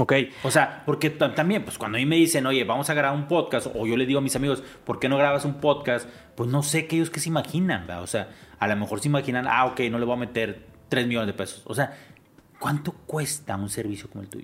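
Here a man talks at a very fast pace with ordinary pitch variation. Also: medium pitch for a man. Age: 50s. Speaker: podcast host and entrepreneur. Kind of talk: casual interview conversation.

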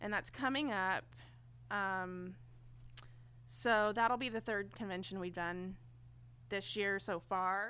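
A woman with an American accent at a very slow pace, her bright, sharp tone showing ordinary pitch variation. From Enid, Oklahoma. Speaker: tattoo artist. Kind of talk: casual chat.

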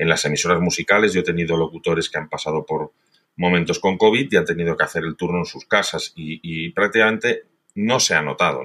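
This man has a very deep, low pitch and a bright, sharp tone, speaking at a fairly quick pace with ordinary pitch variation. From Spain, Valencia. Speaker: radio executive. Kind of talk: interview.

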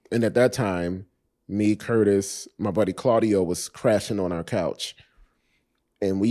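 A man with a fairly low pitch and a dark, mellow tone, at a moderate pace with ordinary pitch variation, on a very clean recording with a silent background. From Miami, Florida (Coconut Grove). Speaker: actor. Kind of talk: casual interview conversation.

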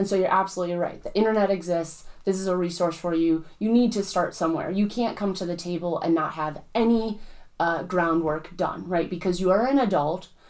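With an unremarkable speaking voice, a woman talks at a fairly quick pace and a medium pitch, her intonation fairly even and her pauses hardly there. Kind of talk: casual chat.

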